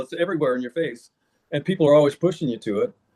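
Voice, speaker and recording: The speaker is a man with a fairly high pitch. His pitch moves in an ordinary way. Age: 70s. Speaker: carnivore diet advocate and author. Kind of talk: interview answer.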